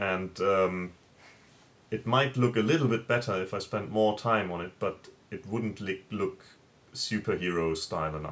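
A man with a German accent speaks at a fairly low pitch, leaving long, frequent pauses. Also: ordinary pitch variation, moderate pace. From Germany. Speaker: comic creator. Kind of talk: video interview answer. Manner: halting, with filler words. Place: home room. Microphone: webcam.

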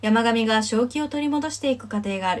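Ordinary pitch variation runs through a woman's high voice. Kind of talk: reading aloud an academic thesis.

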